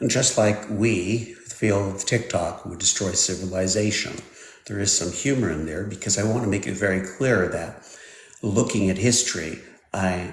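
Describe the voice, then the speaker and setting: The intonation stays fairly even. Noticeable background noise and audible room echo fill the clip. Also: man, fairly low pitch for a man, moderate pace. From Switzerland. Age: 60s. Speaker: technology expert. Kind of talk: live stream interview. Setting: live stream.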